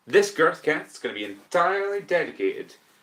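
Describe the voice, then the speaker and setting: This speaker is a man. He talks with a Scottish accent. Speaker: podcast host. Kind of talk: casual chat. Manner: slow.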